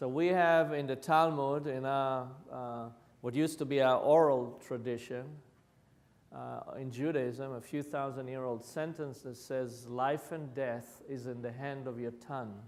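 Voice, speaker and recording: In an Israeli accent, a man speaks at a medium pitch and fairly slow pace with fairly even intonation, and room echo is audible. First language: Hebrew. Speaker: violence prevention practitioner. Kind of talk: lecture.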